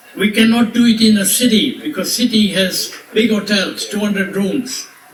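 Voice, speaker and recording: A high-pitched man with fairly even intonation, amid noticeable background noise and audible room echo. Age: 80s+. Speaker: resort owner giving birthday speech. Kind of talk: birthday speech to guests. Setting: party with audience.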